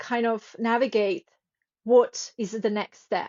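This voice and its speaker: Pitched fairly high, a woman speaks with a non-native accent. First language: not English. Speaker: author and sleep coach. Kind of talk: interview. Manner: halting.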